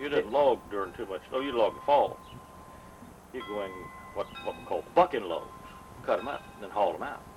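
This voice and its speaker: A man speaks at a fairly quick pace over background music, leaving long, frequent pauses. His loudness swings widely. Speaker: elderly family member telling stories. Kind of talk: casual family chat, oral history.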